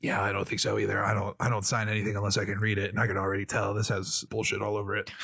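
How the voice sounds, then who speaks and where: Using a put-on character voice, a man speaks in a raspy, fairly low pitch at a very fast pace. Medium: actual play. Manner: dramatic, put-upon.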